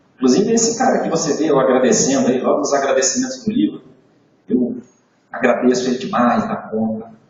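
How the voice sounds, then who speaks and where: A man talks in an animated tone at a medium pitch, with very wide pitch swings. Room echo is audible. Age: 60s. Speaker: motivational sales trainer. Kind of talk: training talk to live audience. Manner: animated storytelling.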